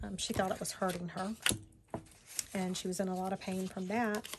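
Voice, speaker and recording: A woman speaks at a medium pitch over noticeable background noise. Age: 40s. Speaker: crafting YouTuber. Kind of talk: personal storytelling; crafting tutorial. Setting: home craft table, on camera. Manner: casual, hesitant with many fillers. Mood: reflective personal story.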